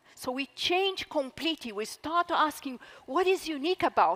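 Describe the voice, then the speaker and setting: A woman talks at a moderate pace with a Brazilian accent and ordinary pitch variation. The sound is dry and close, with no echo. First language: Portuguese. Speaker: author. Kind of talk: talk to live audience; audience Q&A answer.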